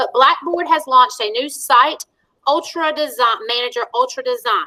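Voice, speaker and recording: A woman speaks in a raised, projected voice, high in pitch. Her tone is bright and sharp. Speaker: school technology trainer. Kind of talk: online staff training. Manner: fast.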